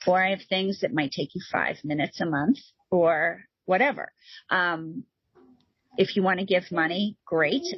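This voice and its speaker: A woman speaks in an animated tone at a moderate pace, her voice somewhat breathy. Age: 50s. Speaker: nonprofit founder. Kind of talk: interview conversation.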